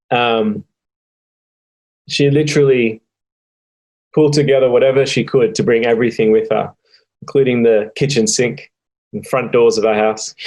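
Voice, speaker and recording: A man with an Australian accent talks at a medium pitch and a moderate pace. His pitch variation is ordinary, and he leaves long, frequent pauses. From Australia (Sydney). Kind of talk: interview testimony. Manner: hesitant, many filler ums.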